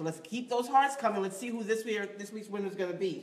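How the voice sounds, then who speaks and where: A woman with an American accent talks at a fairly quick pace. Her tone is animated. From New York, West Indian heritage. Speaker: acting show host. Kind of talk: live web show presenting. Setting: studio, live-streamed. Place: studio. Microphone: phone near.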